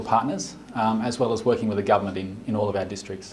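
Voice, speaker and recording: A man with an Australian accent talks very fast, with fairly even intonation. There is noticeable background noise. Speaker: development organization director. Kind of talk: interview.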